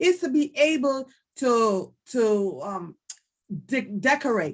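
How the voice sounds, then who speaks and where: A woman speaks in a Jamaican accent at a high pitch. Her pitch swings very widely. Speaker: candidate for district office. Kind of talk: panel self-introduction.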